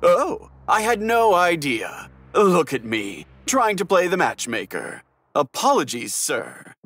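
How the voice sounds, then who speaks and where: A man with a high voice speaks at a fairly slow pace. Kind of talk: audiobook drama acting. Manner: sly, falsely apologetic.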